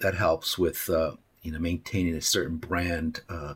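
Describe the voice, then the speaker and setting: A man with an American accent speaks at a moderate pace in a somewhat breathy voice. The recording is very clean, with a silent background. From Arizona, US Southwest (Tucson). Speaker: creative director. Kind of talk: interview. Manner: halting, frequent fillers and repetitions.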